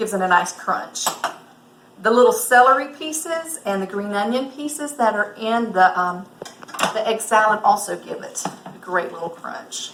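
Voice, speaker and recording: A woman with a Southern US accent talks at a fairly high pitch and moderate pace with lively intonation. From US South. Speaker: cooking instructor. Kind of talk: cooking tutorial. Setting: lake house kitchen. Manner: casual, hesitant with fillers.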